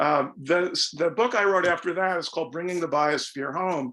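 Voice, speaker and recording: A high-pitched man's voice at a moderate pace. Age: 70s. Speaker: environmental studies professor and author. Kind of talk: lecture. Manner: halting, with many fillers.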